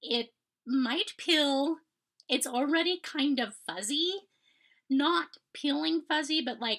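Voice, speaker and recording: In a raised, projected voice, a high-pitched woman speaks at a very slow pace with lively intonation. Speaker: knitting podcaster. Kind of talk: casual chat. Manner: hesitant, many fillers.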